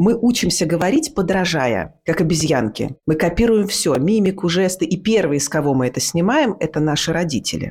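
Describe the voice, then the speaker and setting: A woman uses a normal speaking voice, fairly low in pitch, with lively intonation. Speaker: actress and speech teacher. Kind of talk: casual interview chat. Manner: clear diction, articulate.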